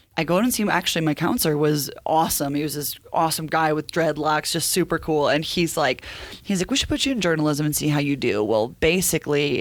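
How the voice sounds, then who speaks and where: A woman with a very deep, low pitch talks very fast in an animated tone, her pitch varying ordinarily over noticeable background noise. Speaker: TV sports reporter. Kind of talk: casual interview chat.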